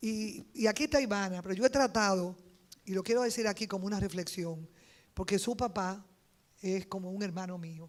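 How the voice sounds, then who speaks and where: A woman talks in a normal speaking voice at medium pitch with ordinary pitch variation. Her pace is moderate. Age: 60s. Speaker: politician, congresswoman. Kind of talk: panel speech.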